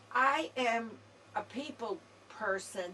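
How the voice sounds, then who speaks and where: A woman talks in a fairly high voice. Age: 70s. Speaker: senior citizen campaign worker. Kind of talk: testimony.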